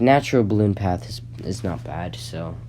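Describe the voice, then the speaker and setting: Very deep and low, a man's voice swings widely in pitch. Room echo and noticeable background noise are present. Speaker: gaming YouTuber. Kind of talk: casual commentary. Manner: halting, many fillers and restarts.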